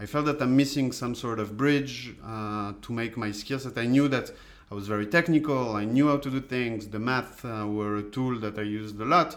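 Speaking with a French accent, a man keeps a moderate pace and a medium pitch, with ordinary pitch variation and hardly any pauses. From France. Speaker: data scientist. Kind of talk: interview.

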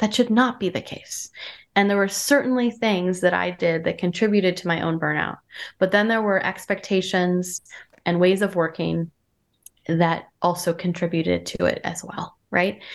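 In an American accent, a woman with an ordinary speaking voice talks at a moderate pace and medium pitch, her intonation fairly even against a quiet background. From US Northeast (rural Vermont). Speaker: wellbeing consultant and business founder. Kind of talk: interview conversation.

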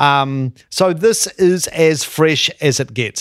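In a dry, close recording with no echo, a man speaks at a fairly slow pace. He has a normal speaking voice, with a fairly high pitch and ordinary pitch variation. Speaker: travel show co-host. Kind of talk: casual travel chat.

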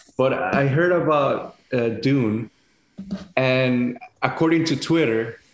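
This man talks with a Spanish accent at a fairly slow pace. His voice is medium in pitch, with ordinary pitch variation. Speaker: chef and podcast co-host. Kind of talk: casual chat.

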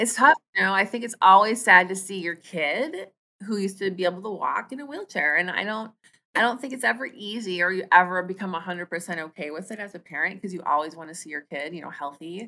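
A woman with an American accent, medium pitch, lively intonation, an animated tone, big swings in loudness and a very fast pace. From Minnesota. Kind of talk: interview.

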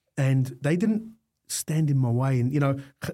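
A man speaks with an Australian accent in a fairly high pitch. His voice is somewhat breathy, with ordinary pitch variation. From Melbourne, Australia. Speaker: fire industry business owner. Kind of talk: casual interview.

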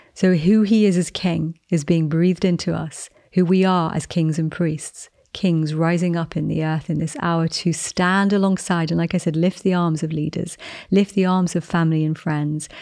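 A woman with a fairly low pitch and a dark, mellow tone speaks at a moderate pace. Her intonation is monotone and flat, against a quiet background. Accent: English. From England. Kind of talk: devotional teaching and prayer.

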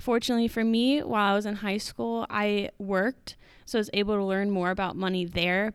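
In a plain, everyday voice, a woman of medium pitch speaks at a fairly quick pace with fairly even intonation on a very clean recording with a silent background. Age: 20s. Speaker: college student and marketing director. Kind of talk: interview answers.

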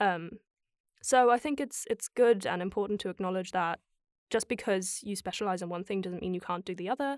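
Fairly quick speech from a woman at a medium pitch with ordinary pitch variation. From Germany. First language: German. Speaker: musical theatre actress and voiceover artist. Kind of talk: casual chat. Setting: remote call. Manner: laughs often, easygoing.

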